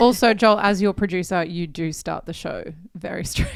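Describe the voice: A woman with an Australian accent talks at a moderate pace with big swings in loudness. Her voice is medium in pitch with ordinary pitch variation.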